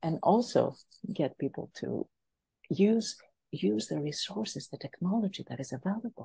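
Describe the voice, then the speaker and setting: A woman with a fairly low, dark, mellow voice and vocal fry swings very widely in pitch, heard in a dry, close sound with no echo against a quiet background. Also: moderate pace. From Greece and France. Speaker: business coach. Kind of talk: podcast interview. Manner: animated.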